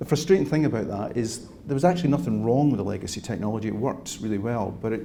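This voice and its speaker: In a Scottish accent, a man talks very fast at a medium pitch with a dark, mellow tone and ordinary pitch variation. Audible room echo is present. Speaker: cybersecurity industry speaker. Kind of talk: keynote talk.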